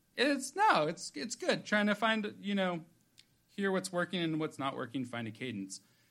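Very wide pitch swings at a moderate pace. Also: man, high pitch for a man. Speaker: podcast co-host. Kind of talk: casual chat. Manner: comedic, jokey, rambling.

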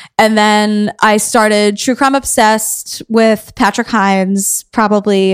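Here a woman with an American accent has a plain, everyday voice, pitched fairly high. Her intonation is fairly even and her pace fairly slow. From New York City, Queens. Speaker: podcast host. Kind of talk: casual interview.

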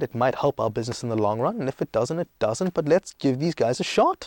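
Over a silent background in a very clean recording, a man talks at a fairly quick pace with very wide pitch swings, his sound dry and close with no echo. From South Africa and Greece. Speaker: startup founder and CEO, former banker. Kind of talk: podcast interview. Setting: studio. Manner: energetic.

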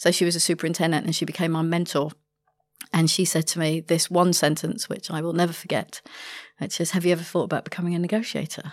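In a London accent, a woman speaks at a very fast pace and a fairly low pitch with monotone, flat intonation. The recording is very clean, with a silent background. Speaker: hostage negotiator. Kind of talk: podcast interview.

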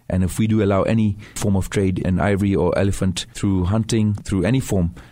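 Over a silent background in a very clean recording, a man speaks with a Tanzanian accent. His tone is dark and mellow, and his pitch is fairly low. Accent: Tanzanian English with British schooling. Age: 40s. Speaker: wildlife conservationist. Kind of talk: radio interview. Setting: studio.

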